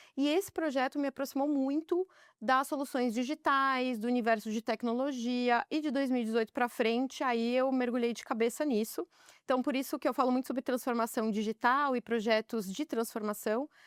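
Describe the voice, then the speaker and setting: Recorded very cleanly with a silent background and a dry, close sound with no echo, a woman speaks at a high pitch with ordinary pitch variation at a moderate pace. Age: 30s. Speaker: business executive. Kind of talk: podcast interview.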